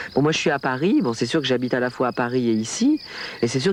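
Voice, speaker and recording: With lively intonation, a man talks as noticeable background noise carries on. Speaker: sopranist singer. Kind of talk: interview. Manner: halting with many hesitations.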